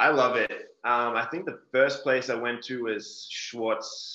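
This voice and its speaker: A man's bright, sharp tone with an Australian accent. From Australia, Melbourne. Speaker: professional football punter. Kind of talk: casual interview.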